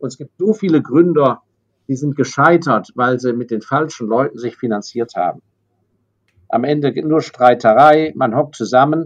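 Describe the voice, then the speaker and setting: A man with a plain, everyday voice and a fairly high pitch speaks at a medium tempo, his pitch varying in an ordinary way. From Germany, raised abroad (London, Hong Kong, Paris). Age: 60s. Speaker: investor. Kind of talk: interview.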